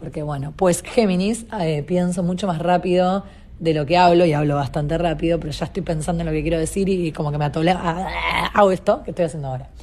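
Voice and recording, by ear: A woman talks at a fast pace with few pauses. Her tone is slightly mellow and her intonation fairly even. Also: fairly low pitch for a woman.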